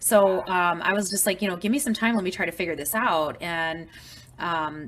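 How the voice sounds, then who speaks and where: Talking at a moderate pace, a woman with an unremarkable speaking voice uses medium pitch and ordinary pitch variation. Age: 40s. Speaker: support group organizer with blood disorder. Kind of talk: group video call discussion. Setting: group call. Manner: casual, filler-heavy.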